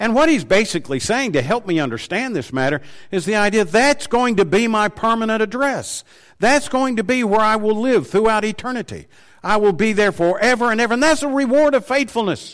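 A man speaks in a Southern US accent at a high pitch with lively intonation. The recording is very clean with a silent background. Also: fairly quick pace. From Tennessee. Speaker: preacher. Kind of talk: sermon. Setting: church.

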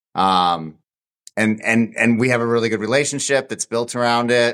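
Over a silent background in a very clean recording, a man with a plain, everyday voice talks at a moderate pace and medium pitch with fairly even intonation. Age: 40s. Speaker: ultra runner. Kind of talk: casual chat.

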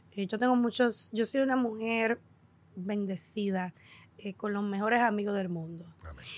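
The intonation here is fairly even. It comes from a woman at a medium pitch. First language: English (speaking Spanish). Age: 40s. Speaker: podcast host. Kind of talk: casual chat.

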